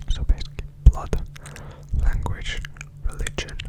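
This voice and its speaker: Amid noticeable background noise, a man is whispering. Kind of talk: ASMR book reading, educational. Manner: soft-spoken.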